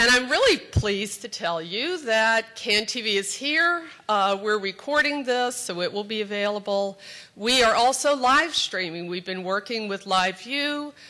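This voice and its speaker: A woman's voice sits fairly high, with a bright, sharp tone. Her intonation is lively and her pace moderate. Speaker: community TV executive director. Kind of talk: introductory speech. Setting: stage with audience. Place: hall. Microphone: podium.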